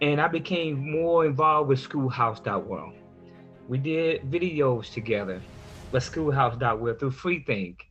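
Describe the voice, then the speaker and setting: A man's fairly high voice at a fairly slow pace, ordinary pitch variation, music in the background. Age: 50s. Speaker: adult learner working toward a high school diploma, church minister. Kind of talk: personal story told to camera.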